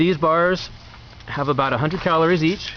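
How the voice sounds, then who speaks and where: There is noticeable background noise as a man speaks at a fairly high pitch. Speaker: video blogger reviewing food. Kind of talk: casual talk-to-camera review. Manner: fast; halting, many fillers and restarts.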